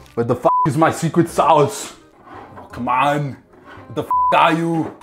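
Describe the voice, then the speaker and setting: Over music in the background, a man speaks at a fairly slow pace with ordinary pitch variation and big swings in loudness. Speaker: game show contestant, dinner party host. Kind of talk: scripted comedy monologue. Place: home room.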